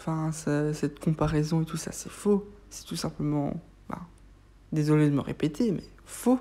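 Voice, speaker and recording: A woman speaks with a very deep, low pitch and a dark, mellow tone, at a fairly slow pace with ordinary pitch variation. Her loudness swings widely, and she takes long, frequent pauses. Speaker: YouTuber reviewing TV episodes. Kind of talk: casual review monologue. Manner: hesitant, many fillers.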